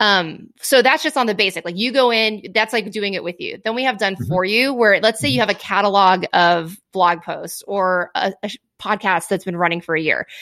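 In a very clean recording with a silent background, a woman of medium pitch speaks in a bright, sharp tone with ordinary pitch variation and hardly any pauses. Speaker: business founder, video marketing expert. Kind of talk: casual interview. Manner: fast talker.

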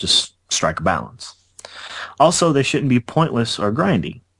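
A man with a normal speaking voice talks at a fairly quick pace, his pitch varying in an ordinary way. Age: 20s. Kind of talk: casual chat.

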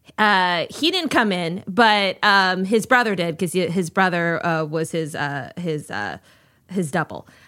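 On a very clean recording with a silent background, a woman speaks at a fairly slow pace in a bright, sharp tone with ordinary pitch variation. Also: medium pitch for a woman. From Minnesota. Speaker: guest. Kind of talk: casual chat.

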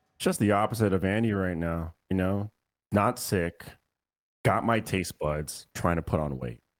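With an American accent, a man speaks in a very deep, low voice. He goes fairly slowly, with ordinary pitch variation. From Austin, Texas. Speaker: guest podcaster. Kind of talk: casual chat.

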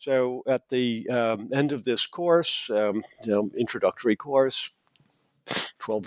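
The sound is close and dry, without any echo. His pitch, a man's, varies in an ordinary way. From US Midwest (Minnesota). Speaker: professor of political science and classics. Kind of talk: interview. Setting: remote call. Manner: halting, many fillers.

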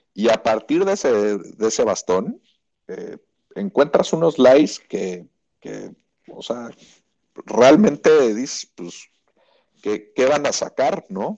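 A man with a Mexican accent speaks at a very slow pace in a fairly high voice with vocal fry, very wide pitch swings, big swings in loudness, and long, frequent pauses. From Mexico. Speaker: golf reporter. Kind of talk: casual chat.

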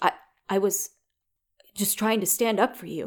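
A put-on character voice, female-sounding and at medium pitch, comes out shaky and nervous in tone at a fairly slow pace. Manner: nervous, unsteady.

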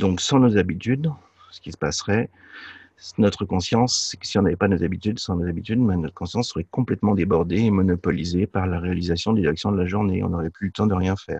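Very deep and low, a man's voice carries a dark, mellow tone. The sound is dry and close with no echo, over a quiet background. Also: ordinary pitch variation, fairly quick pace. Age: 50s. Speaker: business coach. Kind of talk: interview. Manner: halting.

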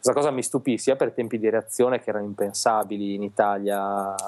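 Dry and close with no echo, the recording has a man with an unremarkable speaking voice, fairly low in pitch, speaking at a moderate pace with fairly even intonation. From Italy, Reggio Emilia. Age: 30s. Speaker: illustrator. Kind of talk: casual chat interview.

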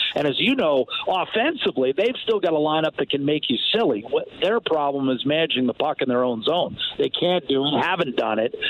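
A man talks at a fairly quick pace in a fairly high pitch, with lively intonation and very even loudness, against noticeable background noise. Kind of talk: radio interview.

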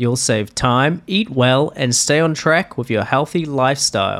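A man talks in an unremarkable speaking voice at a moderate pace. His intonation is lively. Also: very clean recording, silent background. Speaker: podcast co-host. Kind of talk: casual chat.

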